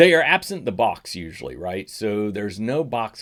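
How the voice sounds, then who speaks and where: A fairly low-pitched man's voice at a moderate pace, lively in intonation, on a very clean recording with a silent background. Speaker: audio gear YouTuber. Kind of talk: casual tutorial. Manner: halting, self-correcting; conversational.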